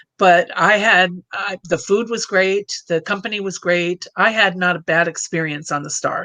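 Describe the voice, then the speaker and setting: A woman with a normal speaking voice talks at a moderate pace with hardly any pauses, in medium pitch and fairly even intonation. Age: 60s. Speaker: cruise travel agent. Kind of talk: casual chat.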